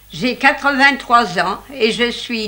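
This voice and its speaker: Over noticeable background noise, a woman with a fairly high pitch talks at a very slow pace. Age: 80s+. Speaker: retired hat seller. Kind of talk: interview. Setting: in her old shop.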